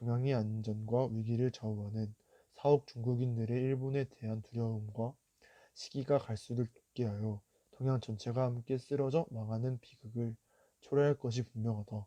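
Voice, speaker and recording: With a dark, mellow tone, a man talks at a moderate pace and medium pitch in a monotone, flat delivery, recorded dry and close with no echo. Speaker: youth reader reciting a historical declaration. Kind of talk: solemn historical declaration reading.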